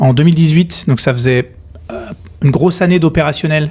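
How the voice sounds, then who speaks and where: A man with an ordinary speaking voice, fairly high in pitch, with ordinary pitch variation. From western France (Nantes). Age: 30s. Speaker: company co-founder. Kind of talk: podcast interview.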